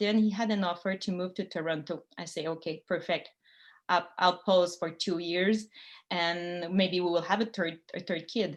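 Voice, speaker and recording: Against a quiet background, a woman with a Quebec accent talks at a moderate pace with fairly even intonation. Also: fairly low pitch for a woman. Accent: French-Canadian accent in English. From Quebec, Montreal. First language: French. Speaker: sailor and former college teacher giving a talk. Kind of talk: presentation to a club. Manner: halting with many fillers.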